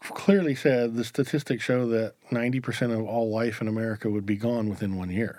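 A man's dark, mellow tone at a moderate pace. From rural US farming community. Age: 50s. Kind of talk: casual chat.

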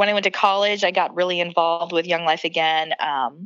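A woman speaks in an American accent. Her tone is bright and sharp. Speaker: pastor and author. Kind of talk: casual interview chat.

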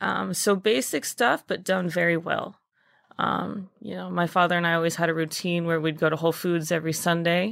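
A woman speaks in an ordinary speaking voice at a fairly low pitch and a fairly quick pace. Her intonation is fairly even, and the recording is very clean with a silent background. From Texas, Dallas. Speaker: restaurant maitre d'. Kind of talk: interview.

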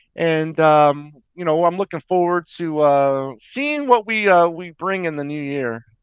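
A man's plain, everyday voice, fairly high-pitched, with ordinary pitch variation, dry and close with no echo, over a quiet background. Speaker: podcast co-host. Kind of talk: casual chat.

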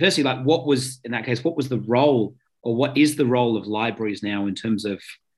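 Against a quiet background, a man with an Australian accent speaks at a fairly quick pace in a medium pitch with ordinary pitch variation. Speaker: podcast host. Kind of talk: interview conversation.

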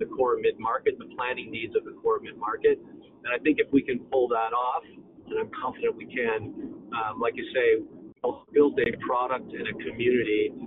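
At a moderate pace, a man with a Canadian accent speaks over noticeable background noise. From Canada, Toronto. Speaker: software company CEO. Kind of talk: interview.

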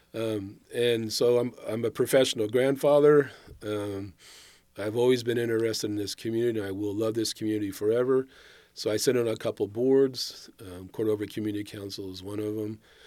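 A man with an American accent and a dark, mellow tone speaks at a fairly quick pace with fairly even intonation, in a very clean recording with a silent background. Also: medium pitch for a man. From Northern California, Sacramento area. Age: 60s. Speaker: retired city official. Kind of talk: interview.

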